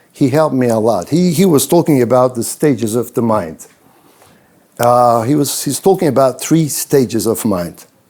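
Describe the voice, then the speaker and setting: With a Turkish accent, a man talks at a moderate pace in a dark, mellow tone, medium in pitch, his intonation lively. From Turkey (Ankara). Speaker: business consultant and speaker. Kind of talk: event talk to students. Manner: halting, many fillers and repetitions.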